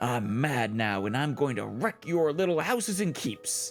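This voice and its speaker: A man growls in a put-on character voice with an angry tone, at medium pitch and a moderate pace. Clear music plays in the background. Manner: growling, angry.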